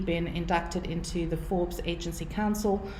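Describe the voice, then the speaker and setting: A woman speaks at a fairly quick pace with a South African accent and fairly even intonation. Audible room echo and noticeable background noise surround her voice. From South Africa, Cape Town. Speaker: marketing consultant. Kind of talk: webinar presentation. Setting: online webinar.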